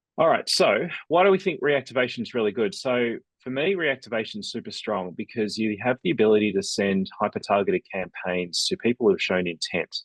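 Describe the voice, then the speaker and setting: A man with an Australian accent, medium pitch, fairly quick pace and very wide pitch swings, in a dry, close sound with no echo. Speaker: email marketing agency owner. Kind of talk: business webinar presentation. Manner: casual, conversational.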